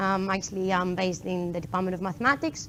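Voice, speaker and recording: A woman with a Greek accent talks at a very fast pace. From Greece, island of Kos. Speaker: PhD student in mathematics, conference speaker. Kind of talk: tech meetup talk. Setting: stage with live audience.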